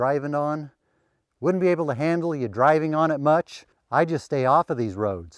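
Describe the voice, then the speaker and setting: At a moderate pace, a man speaks with a fairly high pitch and ordinary pitch variation. The background is quiet. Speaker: forest landowner. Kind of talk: casual outdoor how-to talk to camera. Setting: outdoors. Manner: occasional stumbles over words.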